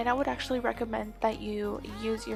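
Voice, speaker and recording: Music plays behind a woman who whispers. She is soft-spoken and talks at a fairly quick pace. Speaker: beauty vlogger. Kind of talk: makeup tutorial voice-over. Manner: soft, near whisper.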